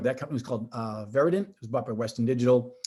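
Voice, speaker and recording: Speaking very fast against a quiet background, a man with an American accent keeps a medium pitch. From Boston. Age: 50s. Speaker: tech company executive. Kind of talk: podcast interview. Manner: animated, with frequent restarts and fillers.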